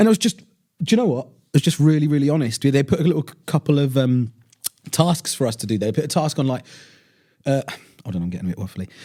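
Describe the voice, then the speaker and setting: Fairly high in pitch with a dark, mellow tone, a man speaks at a very fast pace, broken by long, frequent pauses. His pitch swings very widely and his loudness rises and falls sharply. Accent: southern English. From southern England, Portsmouth. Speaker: radio presenter. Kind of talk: casual interview chat.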